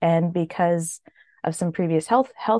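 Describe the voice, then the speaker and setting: A woman with a normal speaking voice talks at a fairly quick pace in a fairly low pitch, with ordinary pitch variation. The sound is dry and close, with no echo. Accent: Canadian. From Canada. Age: 30s. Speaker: widow sharing her story. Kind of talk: interview testimony.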